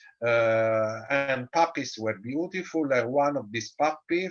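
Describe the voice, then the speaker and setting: In an Italian accent, a man talks at a fairly slow pace, his medium pitch showing ordinary variation. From Italy. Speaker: dog show judge and breeder. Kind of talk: interview. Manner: halting, many fillers.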